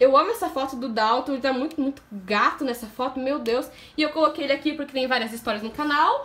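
Her pitch is high for a woman. She speaks at a fairly quick pace. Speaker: vlogger. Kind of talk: casual talk to camera. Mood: affectionate, enthusiastic. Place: home room. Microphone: phone near.

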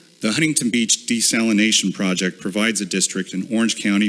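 He has a plain, everyday voice. This man's pitch is fairly low and his pace fairly quick. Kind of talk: formal public statement. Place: hall. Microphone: podium.

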